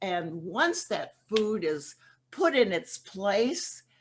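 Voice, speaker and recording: A medium-pitched woman's voice with very wide pitch swings, at a very slow pace against a quiet background. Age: 80s+. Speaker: twelve-step program speaker. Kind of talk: recovery testimony talk. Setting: virtual convention session. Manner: halting.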